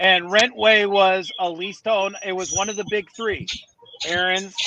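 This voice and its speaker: Over noticeable background noise, a man with a northern US accent speaks at a fairly slow pace, using a high pitch and monotone, flat intonation. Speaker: finance professional and podcast guest. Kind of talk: casual interview chat.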